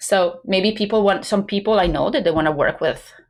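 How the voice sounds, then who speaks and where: A woman's medium-pitched voice with an Italian accent at a fairly quick pace. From Italy. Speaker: business coach. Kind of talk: podcast interview.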